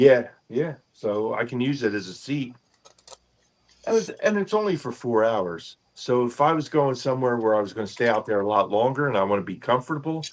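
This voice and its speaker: This man has a normal speaking voice, medium in pitch, delivered at a fairly quick pace with lively intonation. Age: 60s. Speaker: fishing streamer. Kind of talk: casual chat. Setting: live stream from boat house.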